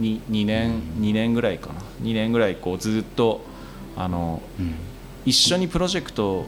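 A man with a plain, everyday voice speaks at a moderate pace. His pitch is fairly low and his intonation lively. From Japan, Tohoku (Miyagi Prefecture, Marumori). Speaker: design company president and university lecturer. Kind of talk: casual chat over drinks.

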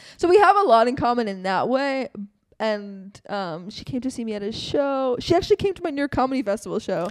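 The loudness swings a lot and the pitch swings very widely. The pace is fairly quick. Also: woman, high pitch for a woman. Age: 20s. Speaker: podcast host and comedian. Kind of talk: casual chat.

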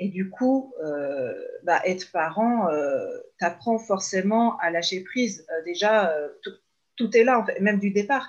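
With lively intonation, a woman speaks at a very slow pace in a medium pitch. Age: 30s. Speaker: mother who works with parents. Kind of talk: casual interview. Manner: hesitant, many fillers.

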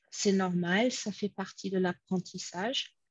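A woman's very slow, somewhat breathy voice at a medium pitch, with ordinary pitch variation and a dry, close sound with no echo. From United States. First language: English (speaking French). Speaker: conference interpreter and home cook. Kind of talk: casual interview. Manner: hesitant, many repetitions.

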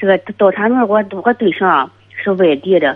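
A woman speaks with ordinary pitch variation. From Shandong, Tai'an. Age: 40s. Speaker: caller. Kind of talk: phone-in call. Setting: phone call. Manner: halting.

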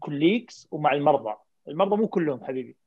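A man with lively intonation. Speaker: family physician and health informatics leader. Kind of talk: panel discussion.

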